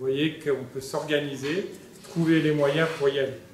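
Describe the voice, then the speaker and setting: The man's pitch is fairly high and his intonation fairly even. He speaks at a moderate pace, and audible room echo can be heard. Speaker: nuclear medicine professor. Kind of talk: conference talk. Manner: hesitant with many fillers. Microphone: speaking without a microphone.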